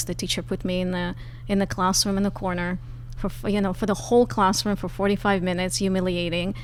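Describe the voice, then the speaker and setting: A woman's voice carries audible room echo. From former Soviet Union. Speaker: author and advocacy leader. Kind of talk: podcast interview.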